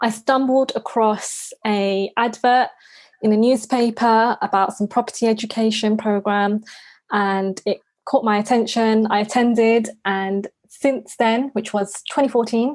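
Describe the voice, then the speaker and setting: Very even loudness with a London accent. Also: woman, fairly high pitch for a woman, fairly even intonation, fairly slow pace. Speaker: property investor. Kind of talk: podcast interview.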